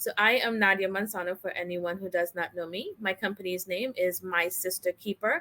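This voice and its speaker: A woman with a slight Trinidadian accent speaks at a medium pitch with fairly even intonation. Her tone is bright and sharp. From Trinidad and Tobago. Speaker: branding expert and army veteran. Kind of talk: interview. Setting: live online broadcast.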